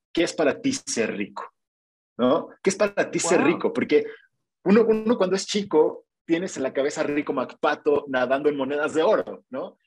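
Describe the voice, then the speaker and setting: His pitch high for a man, a man talks with very wide pitch swings. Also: moderate pace. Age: 30s. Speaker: digital marketing freelancer. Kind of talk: casual interview. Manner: halting, many repetitions.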